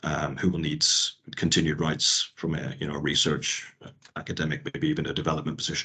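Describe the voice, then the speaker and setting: Over a quiet background, a man with a Northern Irish accent talks very fast in a very deep, low voice with a bright, sharp tone and monotone, flat intonation. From Northern Ireland. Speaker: IP lawyer. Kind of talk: workshop talk. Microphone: video call.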